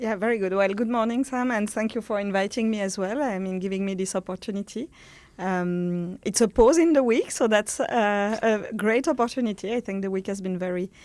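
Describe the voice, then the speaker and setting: Speaking at a fairly quick pace, a woman with a French accent uses a medium pitch and ordinary pitch variation on a very clean recording with a silent background. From France. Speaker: pharma industry executive. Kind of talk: interview. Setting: studio. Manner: halting, many fillers.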